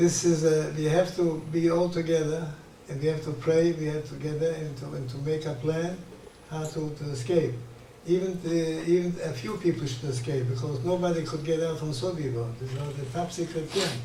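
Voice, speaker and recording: The intonation is fairly even. Room echo is audible, along with noticeable background noise. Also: man, fairly high pitch for a man, moderate pace. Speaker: Holocaust survivor. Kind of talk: interview testimony. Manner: halting, repetitive.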